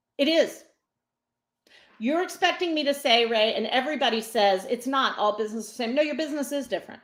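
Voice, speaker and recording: A woman speaks loudly and at a fairly quick pace, her pitch high. Her tone is animated, her intonation lively. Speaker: business coach and speaker. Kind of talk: interview.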